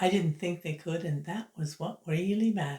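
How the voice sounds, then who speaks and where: In a Canadian Maritime accent, a woman speaks with a dark, mellow, somewhat breathy tone, a fairly low pitch and fairly even intonation. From Canada, Prince Edward Island. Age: 70s. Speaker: YouTuber, retired writer. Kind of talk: casual vlog monologue.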